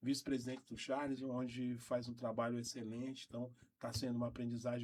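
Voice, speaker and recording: At a moderate pace, a man talks in a medium pitch. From Brazil, Porto Velho, Rondônia. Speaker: nurse and union leader. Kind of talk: radio interview. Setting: radio studio. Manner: halting.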